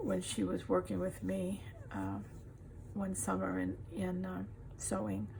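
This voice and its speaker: Audible room echo fills the space. The woman's delivery is fairly slow. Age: 70s. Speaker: crafter. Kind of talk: casual tutorial.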